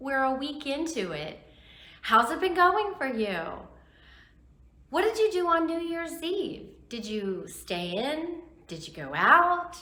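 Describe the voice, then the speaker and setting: In a room with audible echo, a woman projects her high voice in very wide pitch swings, speaking very slowly with long, frequent pauses. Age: 60s. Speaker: YouTuber vlogger. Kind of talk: casual vlog talk to camera.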